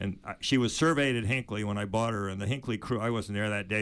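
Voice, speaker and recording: A man with a fairly low pitch talks at a very fast pace in an American accent. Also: very clean recording, silent background. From US Northeast, Maine summers. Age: 70s. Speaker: author and sailor. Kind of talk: casual chat. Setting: studio.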